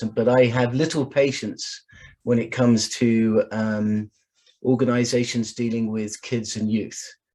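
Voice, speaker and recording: With an English accent, a man speaks in a dark, mellow tone and a monotone, flat intonation. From England. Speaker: sport science expert. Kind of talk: online presentation.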